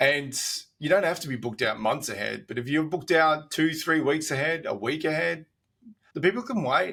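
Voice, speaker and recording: Bright and sharp in tone, a man talks with an Australian accent. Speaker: doctor. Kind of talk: casual chat.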